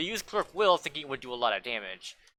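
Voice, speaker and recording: This is a man's voice. It has vocal fry. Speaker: gaming streamer reacting to patch notes. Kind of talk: reaction commentary with reading aloud. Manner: fast; halting, self-correcting.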